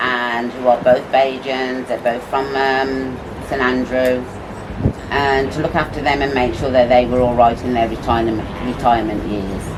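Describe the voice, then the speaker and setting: With a British accent, the speaker talks at a moderate pace in a flat monotone, with noticeable background noise and audible room echo. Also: woman, very deep, low pitch for a woman. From UK. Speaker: restaurant owner. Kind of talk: personal testimony.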